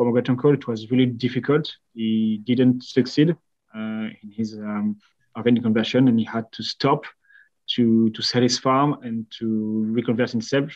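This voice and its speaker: A man with a French accent talks at a moderate pace. His intonation is monotone and flat. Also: medium pitch for a man, big swings in loudness. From France. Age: 20s. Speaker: company co-founder. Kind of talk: podcast interview. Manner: halting.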